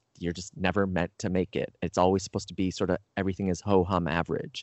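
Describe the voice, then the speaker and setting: Speaking at a fairly quick pace, a man has a Canadian accent. His pitch is fairly low. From Canada. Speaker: speaking coach and author. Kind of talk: interview. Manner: animated.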